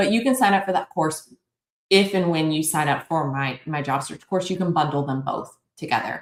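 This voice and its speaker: At a fairly quick pace, a woman talks in a very deep, low pitch. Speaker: career and job search coach. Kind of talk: live webinar Q&A. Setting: livestream. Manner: fast; animated.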